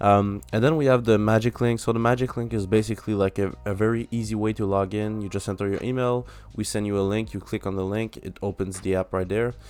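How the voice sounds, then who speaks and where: In a French accent, the words come at a very fast pace with fairly even intonation. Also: man, fairly low pitch for a man. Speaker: app developer. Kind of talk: software demo tutorial. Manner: halting, many fillers.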